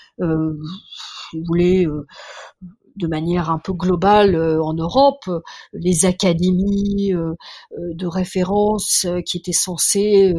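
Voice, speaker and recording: Dark, mellow tone from a female speaker, somewhat breathy. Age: 60s. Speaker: biologist and science journalist. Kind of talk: interview. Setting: remote call. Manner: halting, many repetitions. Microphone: poor sound quality.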